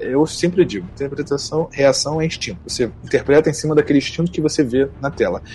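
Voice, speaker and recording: Noticeable background noise behind a fairly quick man's voice, fairly high in pitch, its pitch variation ordinary. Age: 20s. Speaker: voice actor and music producer. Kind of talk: interview.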